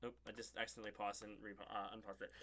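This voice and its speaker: A man's voice carries vocal fry and a bright, sharp tone. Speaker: sports fan streamer. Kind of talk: live stream rant. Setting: live stream. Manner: animated, agitated.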